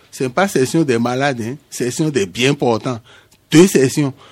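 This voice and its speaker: A man is talking here. He keeps a moderate pace. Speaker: craft chamber official. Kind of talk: radio interview.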